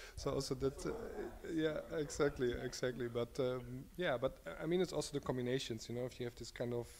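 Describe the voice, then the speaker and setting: Fairly quick, fairly even in intonation, and medium in pitch: a man's voice. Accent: German. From Germany. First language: German. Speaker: designer. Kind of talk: casual interview.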